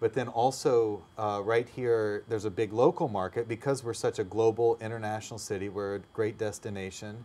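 A man's medium-pitched voice with a dark, mellow tone, fairly even intonation, a moderate pace and hardly any pauses. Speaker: language school owner. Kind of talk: interview. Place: studio. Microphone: lapel.

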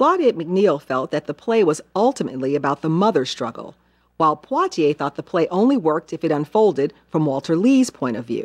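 A woman's fairly low, warm voice with very wide pitch swings, at a fairly quick pace, in a quiet background. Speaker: TV film host. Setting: television broadcast. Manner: formal; measured, articulate, warm and even-paced. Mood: warm, measured. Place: studio. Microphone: lapel.

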